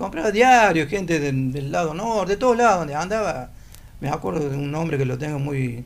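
Fairly high-pitched, a man speaks at a moderate pace with very wide pitch swings. Audible room echo fills the recording. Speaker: former newspaper seller. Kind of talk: casual chat.

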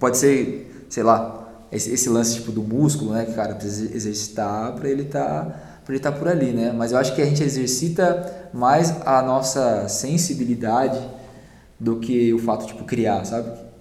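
Over noticeable background noise and audible room echo, a man at a medium pitch speaks with lively intonation at a moderate pace. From Brazil, São Paulo. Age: 30s. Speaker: music producer. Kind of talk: casual chat.

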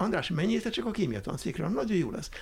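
A man's pitch swings very widely, and vocal fry is present in his voice. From Hungary, Budapest. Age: 70s. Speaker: retired college teacher, environmental educator. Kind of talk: interview.

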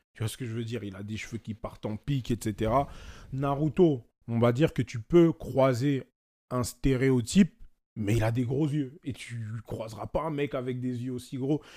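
With a dark, mellow tone and medium pitch, a man talks at a moderate pace with ordinary pitch variation and big swings in loudness, in a dry, close sound with no echo. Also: very clean recording, silent background. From France, Paris region (Val-d'Oise). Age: 20s. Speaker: manga artist and illustrator. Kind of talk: casual chat.

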